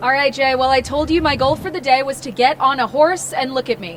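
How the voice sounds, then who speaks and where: A woman's high voice at a fairly quick pace, with ordinary pitch variation and noticeable background noise. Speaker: news anchor. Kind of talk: casual field report. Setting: outdoors.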